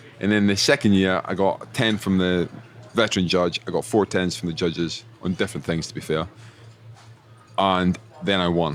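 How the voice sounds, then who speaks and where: The speaker has a Scottish accent. Long pauses come often. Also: man, very deep, low pitch for a man, ordinary pitch variation, moderate pace. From Scotland. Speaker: chef. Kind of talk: casual chat. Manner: animated.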